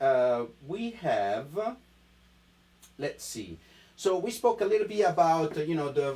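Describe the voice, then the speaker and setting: A man speaks with an Italian accent. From Italy. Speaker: wine importer sales rep. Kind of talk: live-streamed wine tasting chat. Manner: animated, enthusiastic.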